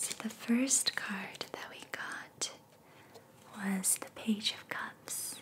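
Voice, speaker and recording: Whispering at a very slow pace, a woman's loudness swings widely over noticeable background noise. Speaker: ASMR reiki practitioner and tarot reader. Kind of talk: ASMR reiki session, tarot reading and guided meditation. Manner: soft-spoken, slow, calming.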